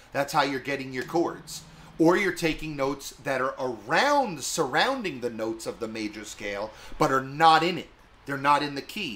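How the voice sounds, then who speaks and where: This man has an ordinary speaking voice with an American accent, fairly high in pitch and with ordinary pitch variation. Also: moderate pace. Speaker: guitar teacher. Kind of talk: tutorial.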